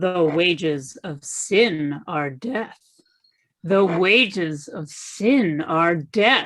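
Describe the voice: Here is a put-on character voice at a middle pitch. It moves at a very slow pace.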